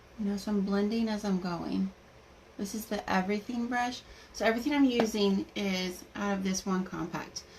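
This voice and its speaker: A woman speaks at medium pitch and a moderate pace. Her intonation is fairly even. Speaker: makeup seller doing live demo. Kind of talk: live makeup tutorial.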